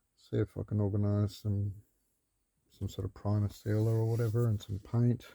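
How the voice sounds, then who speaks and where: A man with a fairly low pitch speaks at a fairly quick pace in a dark, mellow, somewhat breathy tone with monotone, flat intonation. The recording is very clean, with a silent background. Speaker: vlogger building a vehicle. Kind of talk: casual video log. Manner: rambling, hesitant.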